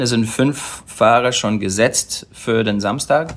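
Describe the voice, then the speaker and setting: An enthusiastic-sounding man at medium pitch speaks with an English accent. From Australia, Sunshine Coast. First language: English (speaking German). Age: 40s. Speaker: wakeboarder and event announcer. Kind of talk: casual chat. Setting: live at a trade fair hall.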